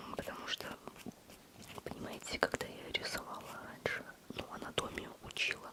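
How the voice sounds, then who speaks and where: A woman whispers at a fairly slow pace. Noticeable background noise runs beneath her. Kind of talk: whispered ASMR talk to camera, personal chat about art struggles. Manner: close-up whisper, intimate.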